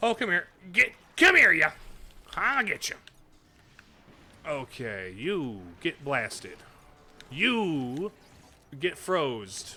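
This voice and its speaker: With a Midwestern US accent, a man speaks at a very slow pace with long, frequent pauses, in a fairly high pitch that makes very wide swings. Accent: Midwest accent, exaggerated at times. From US Midwest. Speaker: streamer. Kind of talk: live gameplay stream chat. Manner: casual, folksy.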